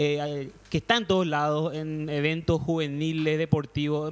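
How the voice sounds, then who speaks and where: This is a man speaking. His voice is high in pitch. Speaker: podcast panelist. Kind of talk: casual chat.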